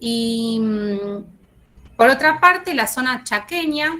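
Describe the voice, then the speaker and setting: A woman is speaking. Her tone is bright and sharp. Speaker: university lecturer. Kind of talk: online lecture. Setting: video call with screen sharing. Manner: halting, many fillers.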